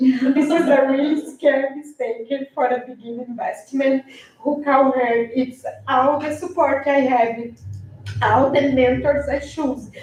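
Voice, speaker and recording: A woman's high-pitched voice with fairly even intonation over noticeable background noise. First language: not English. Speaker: public commenter, property investor. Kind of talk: public comment at city meeting. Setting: city commission meeting. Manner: halting.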